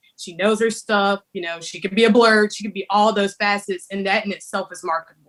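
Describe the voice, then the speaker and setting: Talking fairly quickly with hardly any pauses, a woman with a Southern accent keeps a medium pitch and monotone, flat intonation, her loudness swinging widely. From south Mississippi. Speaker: artist. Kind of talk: panel discussion.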